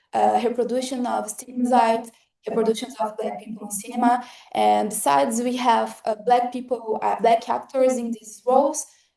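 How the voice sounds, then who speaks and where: A woman speaks with a Brazilian Portuguese accent and a high pitch. Her tone is dark and mellow. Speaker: academic presenter, motion designer. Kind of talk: lecture. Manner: halting, frequent fillers.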